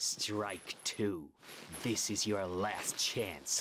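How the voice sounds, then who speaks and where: Growling in a put-on character voice, a man speaks at a fairly low pitch with fairly even intonation. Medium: video game.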